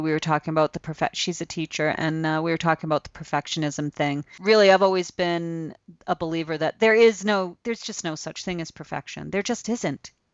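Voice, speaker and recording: In a normal speaking voice, a woman talks at a fairly quick pace with fairly low pitch. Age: 50s. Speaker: abstract artist. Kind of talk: casual chat.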